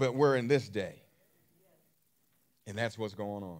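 A man's lively intonation stands out over a quiet background. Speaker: preacher. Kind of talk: sermon.

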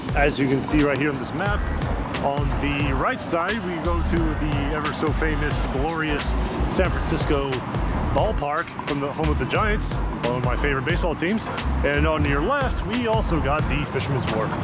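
A man at a moderate pace, with music in the background and a dry sound with no echo. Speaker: travel vlogger. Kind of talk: casual vlog chat. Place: street. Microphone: phone near.

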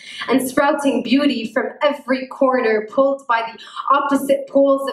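A woman speaks in a high pitch at a fairly slow pace. Her intonation is fairly even, and the room echoes audibly. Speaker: poet. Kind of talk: spoken word poetry performance. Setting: live event. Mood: tender, emotional. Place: hall. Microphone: handheld.

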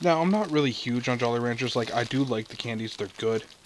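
At a moderate pace, a man speaks with ordinary pitch variation in a dry sound with no echo, over light background noise. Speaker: food review host. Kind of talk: casual review vlog chat. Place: home room.

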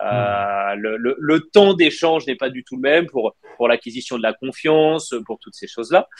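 An unremarkable speaking voice at a moderate pace, with lively intonation, in a dry sound with no echo over a quiet background. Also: man, medium pitch for a man. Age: 30s. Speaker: wealth management consultant; interview guest. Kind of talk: live interview. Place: home room. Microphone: video call.

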